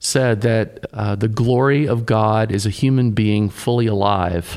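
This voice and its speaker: A man's plain, everyday voice, medium in pitch, at a fairly slow pace with fairly even intonation. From US South, Tennessee. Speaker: pastor, podcast co-host. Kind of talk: casual chat.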